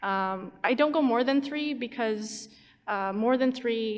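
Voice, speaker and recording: A woman speaks against a quiet background. Her pitch varies in an ordinary way. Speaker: YouTube animator. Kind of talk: convention panel talk. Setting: stage with audience. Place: hall. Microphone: podium.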